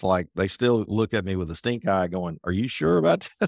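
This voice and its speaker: Lively intonation and a fairly quick pace carry a Southern US accent. The sound is dry and close with no echo, in a very clean recording with a silent background. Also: man. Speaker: accountant, author, speaker. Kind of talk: casual interview conversation.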